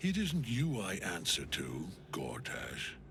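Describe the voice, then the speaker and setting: A man speaks fairly slowly in a put-on character voice, with background noise clearly audible. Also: fairly low pitch for a man. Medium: video game. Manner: stern, commanding.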